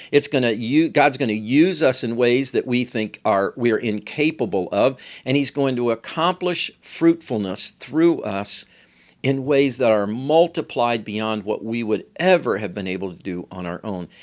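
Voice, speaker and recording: A man in a normal speaking voice talks at a moderate pace and medium pitch with lively intonation, in a very clean recording with a silent background. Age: 60s. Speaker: pastor and podcast host. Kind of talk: sermon-style teaching podcast.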